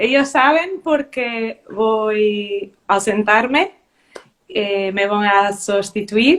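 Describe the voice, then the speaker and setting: A woman's fairly high voice in a Portuguese accent, at a very slow pace, with ordinary pitch variation. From Portugal. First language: Portuguese (speaking Spanish). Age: 30s. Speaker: beauty queen and primary teacher. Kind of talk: interview. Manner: halting.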